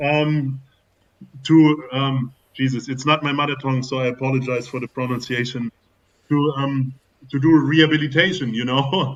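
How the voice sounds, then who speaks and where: A man speaks with a German accent. His intonation is fairly even. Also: medium pitch for a man, moderate pace. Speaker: football business expert. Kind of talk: casual panel discussion. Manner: halting.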